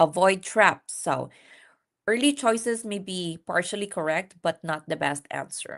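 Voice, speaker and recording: A woman with a non-native accent speaks fairly slowly. Her intonation is lively, and the background is quiet. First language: not English. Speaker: nurse practitioner and exam-prep instructor. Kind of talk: live-stream lecture. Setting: live stream. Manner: conversational, with frequent fillers.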